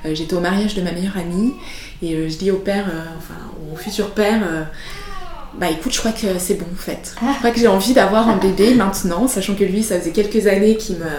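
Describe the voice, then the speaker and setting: A woman speaks at a fairly quick pace with ordinary pitch variation. Noticeable background noise can be heard. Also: medium pitch for a woman. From Switzerland. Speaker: entrepreneur, founder of a service for mothers. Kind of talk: interview testimony. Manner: soft-spoken.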